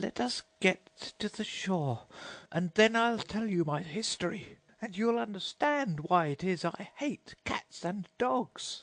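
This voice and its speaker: Against a quiet background, a man does a shaky put-on character voice, high in pitch and fairly slow. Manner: emotional, solemn.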